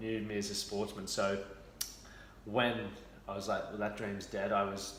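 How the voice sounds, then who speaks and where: Monotone, flat delivery at a moderate pace, with noticeable background noise and audible room echo. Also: man, fairly low pitch for a man. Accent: Australian. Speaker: former athlete, fitness and mental health mentor. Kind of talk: interview, personal story. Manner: casual, conversational.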